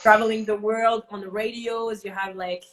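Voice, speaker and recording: The speaker has a French accent. The intonation is monotone and flat. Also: woman. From France. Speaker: live show host. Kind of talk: casual interview. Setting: Instagram live video call.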